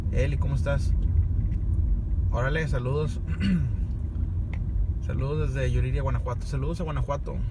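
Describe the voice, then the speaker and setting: Loud background noise surrounds a man speaking at a moderate pace with ordinary pitch variation, the sound dry with no echo. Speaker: livestreamer driving. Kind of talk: casual livestream chat. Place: car. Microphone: phone near.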